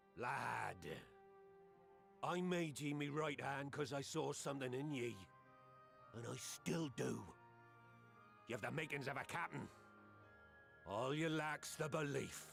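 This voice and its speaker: Putting on a character voice, a man speaks at a fairly high pitch and a fairly slow pace with long, frequent pauses while clear music plays in the background. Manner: gruff, encouraging.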